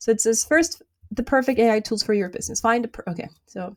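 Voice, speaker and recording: Speaking at a fairly quick pace, a woman talks with a non-native accent. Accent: has a non-native. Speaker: YouTuber, small business tech tutorials. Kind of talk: live tutorial screen walkthrough. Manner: fast.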